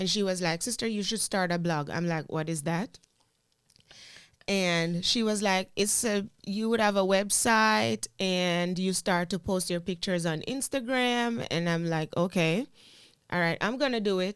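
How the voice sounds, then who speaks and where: A woman with a strong Jamaican accent talks at a fairly slow pace and a medium pitch. The recording is very clean, with a silent background. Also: ordinary pitch variation, very even loudness. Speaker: teacher and content creator. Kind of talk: casual interview chat.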